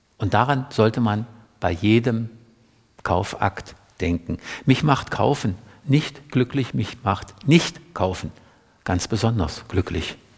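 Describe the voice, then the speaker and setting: The voice is somewhat breathy, with lively intonation. Delivery is very slow, with long, frequent pauses. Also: man, medium pitch for a man. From East Germany, Saxony-Anhalt (Middle Elbe). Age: 70s. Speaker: author and environmentalist. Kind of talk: public talk. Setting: library event with audience.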